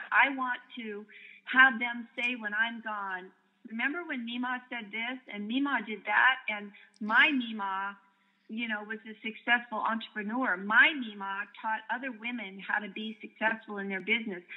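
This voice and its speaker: This woman has a plain, everyday voice with fairly high pitch and fairly even intonation. She keeps a moderate pace, though her loudness swings widely. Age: 60s. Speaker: direct sales distributor. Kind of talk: interview storytelling.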